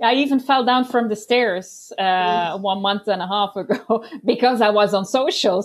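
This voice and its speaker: A woman with a Dutch accent at a moderate pace and medium pitch, ordinary pitch variation, very even loudness and hardly any pauses. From Belgium. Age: 30s. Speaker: life coach. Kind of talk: casual interview. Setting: video call.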